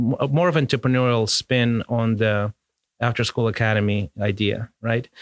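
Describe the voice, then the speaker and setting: With a Russian accent, a man of medium pitch speaks at a moderate pace and with fairly even intonation. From Soviet Union, childhood in Mozambique. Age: 50s. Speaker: musician and entrepreneur. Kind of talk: interview conversation. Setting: podcast interview.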